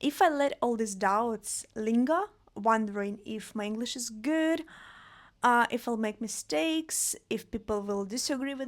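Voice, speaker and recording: Very clean recording and silent background, a woman with a non-native accent, fairly high pitch and a fairly slow pace. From Russia, Vladivostok. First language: Russian. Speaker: podcast host. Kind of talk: solo podcast monologue. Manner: casual, conversational.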